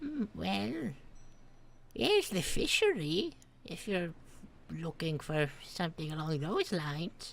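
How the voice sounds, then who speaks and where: A woman's fairly low put-on character voice, fairly slow, with long, frequent pauses. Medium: actual play. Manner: kindly, hesitant.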